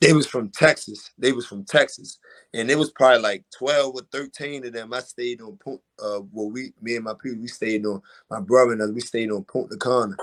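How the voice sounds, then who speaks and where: With a Baltimore accent, a man speaks with big swings in loudness, recorded with a dry, close sound and no echo. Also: medium pitch for a man, ordinary pitch variation, fairly quick pace. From West Baltimore, Maryland, US. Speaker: boxer. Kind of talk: casual interview.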